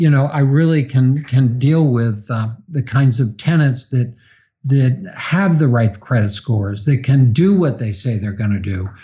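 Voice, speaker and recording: A somewhat breathy male voice at medium pitch, with lively intonation and a fairly slow pace. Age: 60s. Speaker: real estate investor. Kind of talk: podcast interview. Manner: halting with repetitions.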